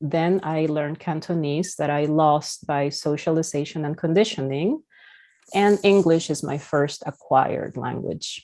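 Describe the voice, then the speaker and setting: A woman with a Spanish accent speaks at a moderate pace in a very deep, low pitch with a dark, mellow tone against a quiet background. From Peru. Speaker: therapist. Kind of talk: lecture.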